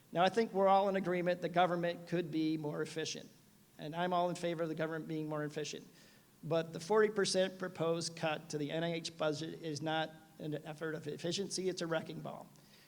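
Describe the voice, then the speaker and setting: A man's high-pitched voice at a very fast pace, with audible room echo. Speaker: medical researcher. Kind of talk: conference talk. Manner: animated.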